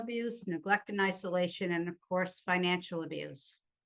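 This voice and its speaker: A woman with an ordinary speaking voice, fairly even intonation, and a moderate pace. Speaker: conference presenter on abuse. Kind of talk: conference presentation.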